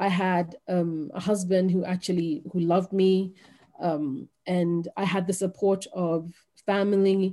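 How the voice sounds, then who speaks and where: A woman talks at a fairly slow pace and medium pitch in a dark, mellow tone. Her intonation is fairly even and her loudness very even. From Kenya, teen years in UK. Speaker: author. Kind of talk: interview conversation. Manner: hesitant, many fillers.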